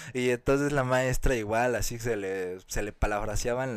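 A man with a medium-pitched voice speaks at a moderate pace in an animated tone. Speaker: podcast co-host. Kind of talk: casual chat.

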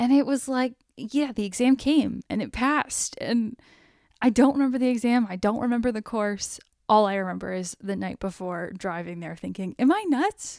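In a very clean recording with a silent background, a woman with an ordinary speaking voice talks at a moderate pace, her fairly high pitch moving with lively intonation. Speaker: podcast co-host. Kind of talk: casual chat.

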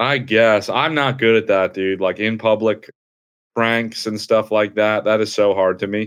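Recorded very clean with a silent background, a man with an American accent and an ordinary speaking voice talks at a fairly slow pace, fairly low pitch and fairly even intonation. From New Jersey. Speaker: stand-up comedian. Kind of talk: casual chat.

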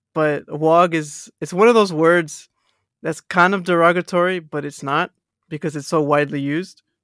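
In a very clean recording with a silent background, a high-pitched man with a slight American accent speaks with fairly even intonation. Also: moderate pace. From Texas. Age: 20s. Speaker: podcast guest. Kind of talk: casual chat.

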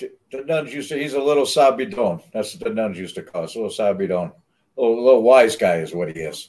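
A man with an American accent races along at a very fast pace at medium pitch, with very wide pitch swings, big swings in loudness, and vocal fry. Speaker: podcast co-host. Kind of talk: casual chat.

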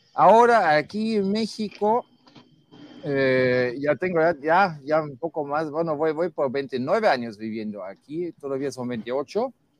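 This man talks at a very slow pace with a fairly high pitch. His voice moves in very wide pitch swings. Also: dry, close sound with no echo. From Germany. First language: German (speaking Spanish). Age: 50s. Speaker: guest commentator. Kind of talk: casual debate.

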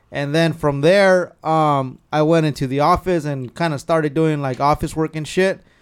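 This man has an ordinary speaking voice, fairly high in pitch, with an American accent. He talks at a moderate pace in a very clean recording with a silent background. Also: fairly even intonation, hardly any pauses. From California (Carpinteria). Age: 30s. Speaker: truck club member and car enthusiast. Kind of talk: casual chat.

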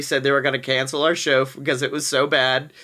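A man with an American accent, bright and sharp in tone, in a very clean recording with a silent background. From Alabama, US South. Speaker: podcast guest, performer. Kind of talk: casual improv chat.

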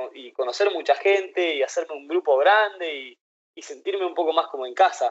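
A man at a moderate pace, with a Rioplatense accent. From Argentina, Buenos Aires. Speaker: traveler and author. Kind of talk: casual chat. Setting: video call.

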